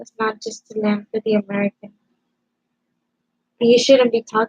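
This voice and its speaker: At a moderate pace, a woman with a fairly high pitch speaks in a monotone, flat intonation, with a dry, close sound and no echo. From Cuba, moved to US at age four. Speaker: live streamer. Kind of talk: heated debate. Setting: live stream on camera. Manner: loud.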